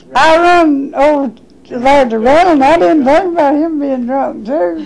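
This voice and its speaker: Lively intonation marks the speech, delivered at a fairly slow pace. Noticeable background noise is present. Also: woman, high pitch for a woman. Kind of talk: interview answer.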